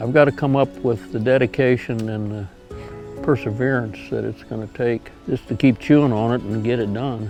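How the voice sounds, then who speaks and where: Music plays behind a man speaking at medium pitch. He talks with hardly any pauses. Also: ordinary pitch variation, moderate pace. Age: 80s+. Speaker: long-distance hiker. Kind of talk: documentary interview answer.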